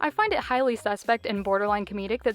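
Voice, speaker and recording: Music plays in the background as a woman talks very fast, the sound dry and close with no echo. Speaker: commentary youtuber. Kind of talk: commentary video.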